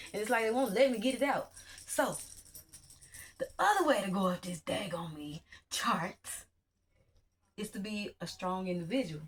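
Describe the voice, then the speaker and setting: Over music in the background, the speaker uses an animated tone and lively intonation at a moderate pace. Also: woman. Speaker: spiritual teacher / YouTuber. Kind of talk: online class lecture. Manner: halting, loses train of thought.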